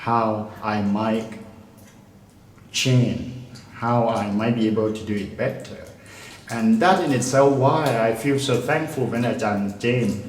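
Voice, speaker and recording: There is noticeable background noise and audible room echo as a man talks at a medium pitch with fairly even intonation. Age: 60s. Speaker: retired English lecturer. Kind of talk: interview. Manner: halting.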